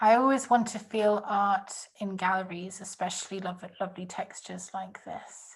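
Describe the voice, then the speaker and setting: Fairly even intonation, big swings in loudness, and a somewhat breathy sound. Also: woman, medium pitch for a woman, moderate pace. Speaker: online workshop facilitator. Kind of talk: group workshop discussion.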